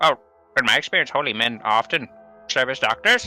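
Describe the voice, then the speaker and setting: Using a put-on character voice, a man speaks fairly quickly at a medium pitch with ordinary pitch variation. Faint music plays in the background. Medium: actual play. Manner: huffy, rambling.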